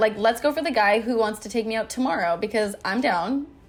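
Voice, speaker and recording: A woman speaks very fast in a fairly high voice. Noticeable background noise runs underneath her. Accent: Canadian. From Vancouver, Canada. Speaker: influencer and brand founder. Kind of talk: casual podcast interview. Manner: stumbles over words.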